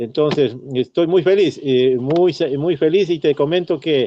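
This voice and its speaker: A man's speech at a moderate pace with ordinary pitch variation. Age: 60s. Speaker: retired teacher and former local politician. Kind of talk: radio interview. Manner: halting, many fillers and repetitions.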